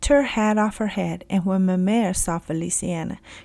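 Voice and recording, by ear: A natural voice reading aloud, its pitch varying an ordinary amount.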